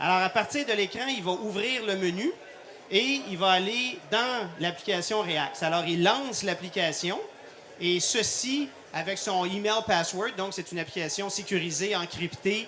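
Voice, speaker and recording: Against noticeable background noise, a man with a high pitch projects a raised voice at a fairly slow pace, with ordinary pitch variation. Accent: Quebec. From Quebec. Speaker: cardiologist and intensive care doctor. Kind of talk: live product demonstration. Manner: many hesitations (euh).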